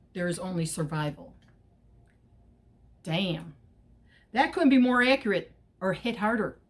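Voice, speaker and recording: A somewhat breathy woman talks at a moderate pace with very wide pitch swings and long, frequent pauses. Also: medium pitch for a woman. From Chicago, US Midwest. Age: 60s. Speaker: political activist vlogger. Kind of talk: casual monologue vlog. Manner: hesitant, many fillers.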